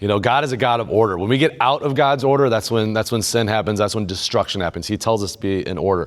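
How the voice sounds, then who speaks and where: Someone with a Midwestern American accent talks at a very fast pace with ordinary pitch variation in a very clean recording with a silent background. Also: man. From central Illinois. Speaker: men's group leader and speaker. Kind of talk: inspirational faith talk.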